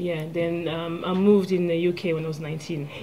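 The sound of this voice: With a French accent, a woman speaks fairly quickly in a fairly low, dark, mellow voice with little pitch movement, against faint background noise.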